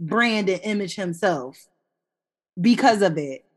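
In a very clean recording with a silent background, a woman speaks loudly and passionately at a fairly slow pace and medium pitch, with very wide pitch swings. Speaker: podcast co-host. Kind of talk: casual chat. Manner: loud, passionate, excitable.

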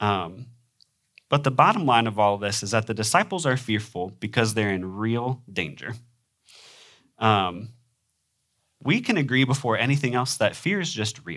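At a moderate pace with long, frequent pauses, a man with an American accent uses lively intonation at a medium pitch on a very clean recording with a silent background. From US Midwest. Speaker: preacher. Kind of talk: sermon. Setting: church. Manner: frequent filler ums.

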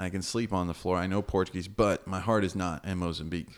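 The speaker has an American accent and talks at a very fast pace. The recording is very clean, with a silent background. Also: man. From United States. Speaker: missionary. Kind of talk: casual interview about his faith journey. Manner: animated.

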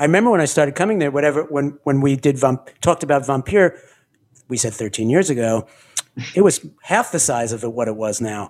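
With an ordinary speaking voice, a man talks fairly quickly at a fairly high pitch with lively intonation. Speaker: podcast host. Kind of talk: casual chat.

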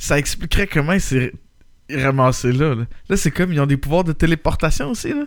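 This man speaks in a Quebec accent. His pitch sits fairly high and varies in an ordinary way. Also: fairly quick pace. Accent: Québécois French. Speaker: podcast host. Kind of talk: casual chat.

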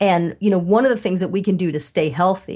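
A woman with an ordinary speaking voice talks at a medium pitch with ordinary pitch variation over a quiet background. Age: 50s. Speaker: psychiatrist and author. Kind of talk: interview. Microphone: sounds very good.

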